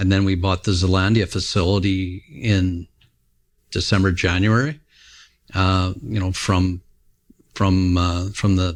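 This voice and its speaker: This man's pitch is very deep and low. He talks at a moderate pace with fairly even intonation. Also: very clean recording, silent background. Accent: Canadian prairie. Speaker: grain trader, company founder. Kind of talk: casual interview conversation. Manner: halting, many fillers and restarts.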